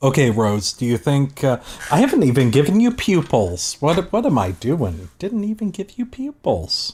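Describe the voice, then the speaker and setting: A man's somewhat breathy, fairly high voice with very wide pitch swings at a moderate pace. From Canada. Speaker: streamer, digital artist. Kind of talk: casual chat. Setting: live art stream.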